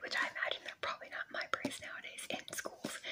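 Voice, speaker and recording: Whispering from a woman, with noticeable background noise around it. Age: 30s. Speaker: ASMR creator. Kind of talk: casual talk to camera. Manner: whispered.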